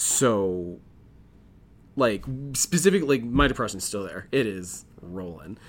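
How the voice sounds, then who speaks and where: This man has a fairly low pitch and lively intonation, with big swings in loudness. He goes at a fairly slow pace, leaving long, frequent pauses. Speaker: podcast co-host. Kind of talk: casual chat.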